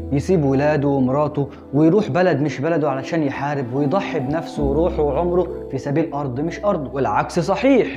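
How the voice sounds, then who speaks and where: Clear music behind a man talking at a moderate pace. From Egypt. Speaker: Islamic scholar, Quran explainer. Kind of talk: casual religious explainer talk to camera. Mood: playful, teasing at times. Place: studio. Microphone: lapel.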